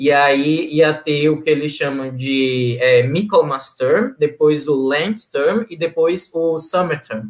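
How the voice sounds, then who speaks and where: Speaking at a very slow pace with hardly any pauses, a man uses a fairly high pitch. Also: ordinary pitch variation. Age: 30s. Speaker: NGO governance analyst, former scholarship student. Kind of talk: casual interview.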